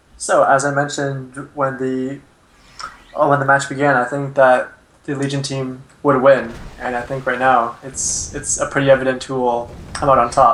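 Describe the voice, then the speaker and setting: Against noticeable background noise, a man speaks in a flat monotone at a medium pitch and a moderate pace. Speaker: esports co-caster. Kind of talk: live commentary. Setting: Skype call. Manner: loud.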